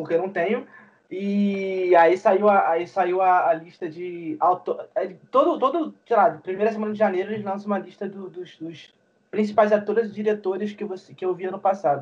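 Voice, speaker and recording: A high-pitched man speaks with ordinary pitch variation and big swings in loudness. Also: moderate pace. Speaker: podcast co-host. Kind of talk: casual chat.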